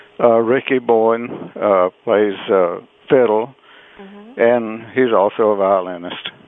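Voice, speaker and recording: With an American accent, a man speaks at a fairly slow pace and medium pitch, with ordinary pitch variation and big swings in loudness over noticeable background noise. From southeast Texas (Beaumont). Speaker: western music singer and musician. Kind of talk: interview. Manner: halting, many fillers.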